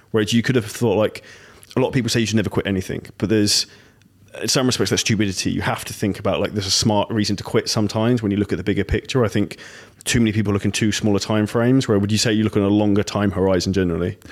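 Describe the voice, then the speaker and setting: A man's very fast, flat, monotone delivery, fairly low in pitch, with a British accent, on a very clean recording with a silent background. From Britain. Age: 30s. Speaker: podcast host. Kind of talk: interview.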